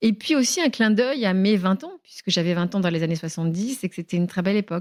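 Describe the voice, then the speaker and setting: A woman talks very fast at medium pitch with lively intonation, recorded with a dry, close sound and no echo. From Tunisia. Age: 70s. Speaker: writer and journalist. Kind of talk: interview. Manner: hesitant, many fillers.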